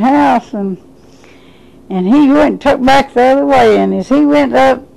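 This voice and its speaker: A woman speaks at a moderate pace while noticeable noise sounds behind her. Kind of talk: interview answer.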